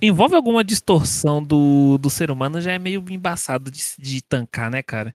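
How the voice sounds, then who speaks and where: This man has a plain, everyday voice, fairly high in pitch, with lively intonation and big swings in loudness. He keeps a moderate pace with hardly any pauses, the sound dry and close with no echo on a very clean recording with a silent background. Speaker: podcast guest. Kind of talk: casual chat.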